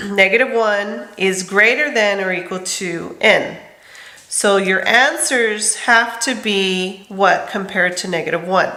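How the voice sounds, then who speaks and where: Ordinary pitch variation marks a woman's medium-pitched voice. She speaks fairly slowly amid noticeable background noise and audible room echo. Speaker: middle school math teacher. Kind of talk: lecture.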